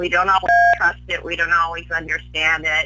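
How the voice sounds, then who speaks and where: A woman speaks over music playing in the background. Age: 70s. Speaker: psychic and life coach. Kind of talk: interview.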